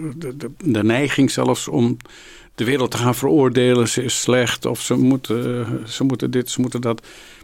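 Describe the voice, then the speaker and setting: The voice carries vocal fry. Pitch moves in an ordinary way, and the pace is moderate. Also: man. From Amsterdam, Netherlands. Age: 70s. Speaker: Jesuit priest and spiritual director. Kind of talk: interview. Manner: hesitant.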